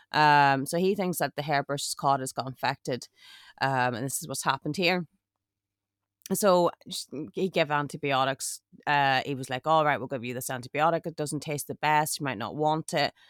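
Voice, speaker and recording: A woman's very deep, low voice in an Irish accent at a moderate pace, with a dry, close sound, no echo, and a very clean recording against a silent background. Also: ordinary pitch variation. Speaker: podcast co-host. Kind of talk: casual chat. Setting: glamping pod with rain outside.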